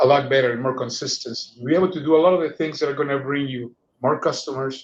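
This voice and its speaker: Someone with a non-native accent talks at a very fast pace. The intonation stays fairly even. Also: man. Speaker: food safety executive. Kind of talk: interview. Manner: halting, frequent repetitions.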